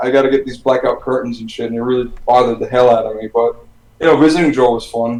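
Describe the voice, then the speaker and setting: With an ordinary speaking voice, a man talks at medium pitch with fairly even intonation. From US, Miami, Florida. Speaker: metal musician. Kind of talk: casual chat.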